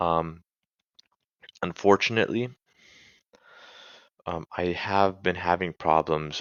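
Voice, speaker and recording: Speaking at a fairly slow pace, a man uses a very deep, low pitch with fairly even intonation. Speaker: student. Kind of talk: tutorial. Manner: halting, many fillers and restarts.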